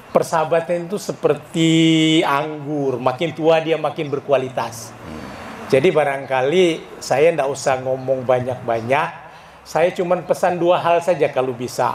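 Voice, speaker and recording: Noticeable background noise sits behind the speaker, a man. His pitch varies in an ordinary way. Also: fairly high pitch for a man, fairly slow pace. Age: 70s. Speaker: former stock exchange director at reunion. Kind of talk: reunion speech.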